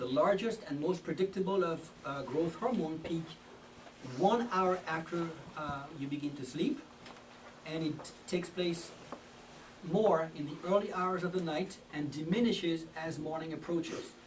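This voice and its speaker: With a French accent, the speaker talks at a fairly slow pace with ordinary pitch variation, amid noticeable background noise and audible room echo. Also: man, high pitch for a man. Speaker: health lecturer. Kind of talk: health talk. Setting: church hall with audience. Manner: halting, many fillers.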